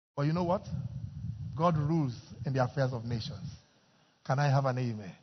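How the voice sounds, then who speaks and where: Talking at a fairly quick pace, a man speaks with a Nigerian accent. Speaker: pastor. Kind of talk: fervent intercessory prayer led before a congregation, sermon style. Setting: church. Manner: loud, urgent, impassioned, repetitive pleading that calls the crowd to join in.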